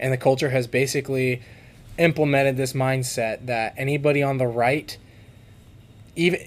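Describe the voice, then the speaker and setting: In an American accent, a man speaks at a moderate pace with flat, monotone intonation and long, frequent pauses. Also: medium pitch for a man. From California. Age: 20s. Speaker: podcast guest. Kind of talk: casual interview.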